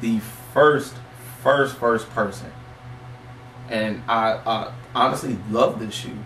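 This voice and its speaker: In an American accent, the speaker talks at a very slow pace with long, frequent pauses and monotone, flat intonation, against audible room echo and light background noise. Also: man. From Michigan. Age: 20s. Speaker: interviewer and sneaker collector; interviewer. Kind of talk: casual collection showcase. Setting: home basement. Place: home room.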